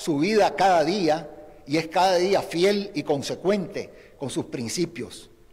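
A high-pitched man speaks with ordinary pitch variation while noticeable background noise carries on. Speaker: former guerrilla commander and opposition politician. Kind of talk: prepared eulogy statement. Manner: formal.

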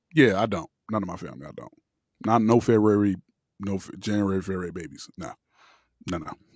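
A man with an American accent at a very fast pace, with long, frequent pauses, ordinary pitch variation and big swings in loudness, on a very clean recording with a silent background. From Miami, Florida. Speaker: podcast co-host. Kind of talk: casual chat.

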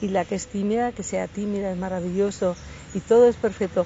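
A woman has an unremarkable speaking voice, with a medium pitch and ordinary pitch variation. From Asturias, Spain. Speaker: belly dance teacher. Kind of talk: interview. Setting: outdoors in a park.

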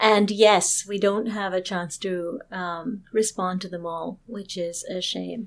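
With a slight British accent, a woman speaks at a very slow pace with hardly any pauses, in a medium pitch with fairly even intonation and big swings in loudness. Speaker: therapist. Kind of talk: casual chat. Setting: live stream.

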